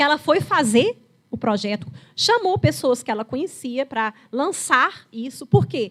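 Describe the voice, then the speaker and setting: Very wide swings mark the pitch. The speaker is a woman with a high voice. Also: fairly slow pace. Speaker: geriatrician. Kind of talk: lecture. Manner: conversational, storytelling.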